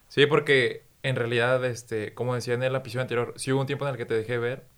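The speaker is a man with a medium pitch. He delivers his words at a fairly quick pace. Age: 30s. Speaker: podcast host, TV news communicator. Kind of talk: casual chat.

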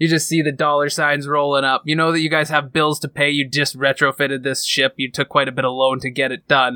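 A man talks at a fairly quick pace in a fairly high, bright, sharp voice, monotone and flat, with hardly any pauses. The sound is dry and close with no echo, and the recording is very clean against a silent background. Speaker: game master of tabletop roleplaying podcast. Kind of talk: actual play roleplaying narration. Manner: puts on raspy character voice at times.

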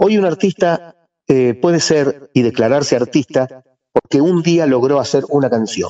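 Using an ordinary speaking voice, a man talks at a fairly slow pace, fairly high in pitch with ordinary pitch variation and very even loudness. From Argentina, Rosario. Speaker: musician, bandleader. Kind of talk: radio interview.

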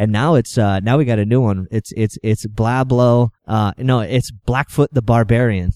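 Speaking with an American accent, a man keeps a moderate pace with hardly any pauses, fairly even intonation, very even loudness and a dark, mellow tone, in a dry, close sound with no echo. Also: medium pitch for a man, very clean recording, silent background. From New Hampshire, US. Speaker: outdoor TV videographer. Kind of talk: casual interview. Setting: live at an outdoor trade show.

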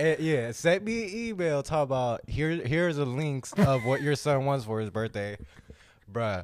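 Speaking at a moderate pace with an American accent, a man uses a fairly high pitch and very wide pitch swings. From Southern California, Long Beach and Orange County. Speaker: host's fiance. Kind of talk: casual chat.

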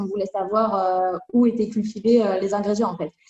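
Here a woman talks at a medium pitch. She keeps a fairly slow pace. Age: 20s. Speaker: cosmetics chemist and brand co-founder. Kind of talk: interview. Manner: halting.

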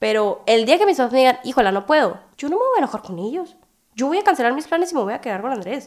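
High-pitched female speech swinging very widely in pitch. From Hermosillo, Sonora, Mexico. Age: 20s. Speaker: student and young mother. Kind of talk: podcast interview.

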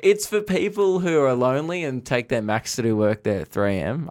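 Speaking with an Australian accent at a medium pitch, a man uses very wide pitch swings and hardly any pauses on a very clean recording with a silent background. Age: 20s. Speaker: comedian. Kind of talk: casual chat.

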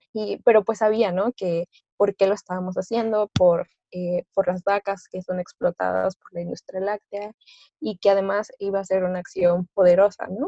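In a dry, close sound with no echo, a woman with a Mexican accent speaks at a moderate pace and medium pitch, her tone dark and mellow, her intonation monotone and flat, her loudness swinging widely. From Mexico, Orizaba, Veracruz. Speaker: student activist. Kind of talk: interview.

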